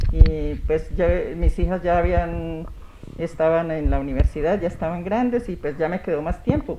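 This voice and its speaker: There is noticeable background noise throughout. Over it, a woman speaks at a moderate pace. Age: 60s. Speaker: women's rights councillor. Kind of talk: TV interview.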